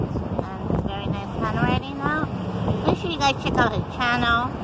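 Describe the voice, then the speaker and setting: Loud background noise sits behind a woman speaking at a moderate pace. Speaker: vlogger. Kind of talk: casual vlog chat. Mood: upbeat, friendly. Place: open country. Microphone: phone near.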